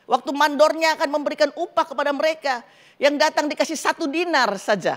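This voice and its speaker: Her pitch is high and her pitch variation ordinary. The woman speaks at a fairly quick pace. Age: 60s. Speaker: pastor. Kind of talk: sermon. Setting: church.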